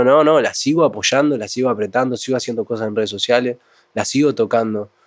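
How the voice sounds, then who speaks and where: Very fast pace, fairly even intonation, and a Uruguayan accent. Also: man. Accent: Uruguayan Spanish (rioplatense). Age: 20s. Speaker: cumbia music producer and songwriter. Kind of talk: casual interview chat.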